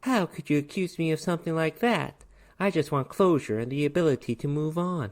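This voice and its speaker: A put-on character voice in a Southern US accent, middle pitch, fairly quick pace, on a very clean recording with a silent background. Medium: read story. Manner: flirtatious, coy.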